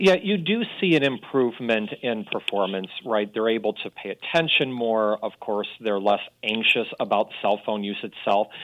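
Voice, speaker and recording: The man's voice sits at a medium pitch with ordinary pitch variation. He keeps a moderate pace with hardly any pauses. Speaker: data researcher segment contributor. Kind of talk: radio talk segment. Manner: loud.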